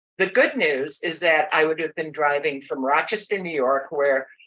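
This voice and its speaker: A woman talks with ordinary pitch variation. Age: 70s. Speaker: medical flight passenger. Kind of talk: podcast interview.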